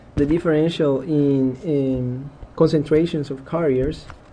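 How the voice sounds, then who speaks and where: There is audible room echo around a man's fairly high-pitched voice, delivered in a monotone, flat intonation. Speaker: engineering lecturer. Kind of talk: lecture.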